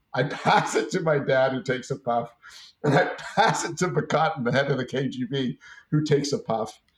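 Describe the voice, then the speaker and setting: This man speaks at a fairly high pitch and moderate pace. His voice is somewhat breathy, with ordinary pitch variation. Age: 50s. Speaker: businessman. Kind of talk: interview.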